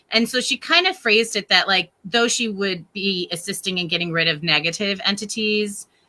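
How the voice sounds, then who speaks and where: A woman's medium-pitched voice with an American accent, a bright, sharp tone, ordinary pitch variation and hardly any pauses. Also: moderate pace. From Connecticut, US. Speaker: paranormal investigator. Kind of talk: podcast interview. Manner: casual, conversational.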